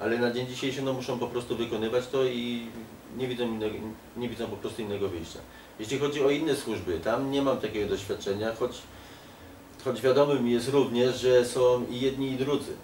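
Amid light background noise and audible room echo, a man talks at a fairly quick pace with fairly even intonation. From Poland. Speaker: political activist. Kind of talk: casual interview. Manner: halting. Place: home room.

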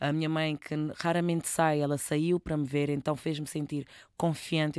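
In an animated tone at a moderate pace, the voice comes through dry and echo-free against a quiet background. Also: woman. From Cacém, Lisbon area, Portugal. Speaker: singer. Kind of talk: casual interview chat. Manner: animated, casual, uses slang. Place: studio. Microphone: studio mic.

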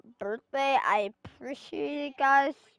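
A woman with a high pitch uses a raised, projected voice with a bright, sharp tone and fairly even intonation. The sound is dry and close, with no echo. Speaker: gaming streamer. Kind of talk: gameplay commentary. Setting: live stream. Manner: halting, many fillers.

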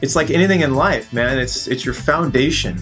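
A man speaks fairly quickly while clear music plays behind him. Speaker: throwing coach, remote guest. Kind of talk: interview answer.

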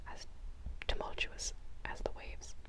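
A soft-spoken woman talks at a moderate pace over loud background noise. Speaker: book reader. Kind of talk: reading a novel aloud. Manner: soft, hushed ASMR reading voice. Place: home room. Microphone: lapel.

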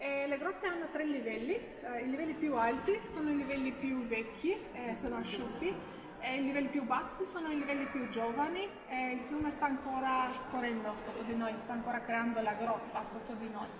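Noticeable background noise sits behind a woman's voice. She speaks at a moderate pace with a high pitch and ordinary pitch variation. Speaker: cave tour guide. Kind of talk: guided tour talk. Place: tunnel cave. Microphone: camera far.

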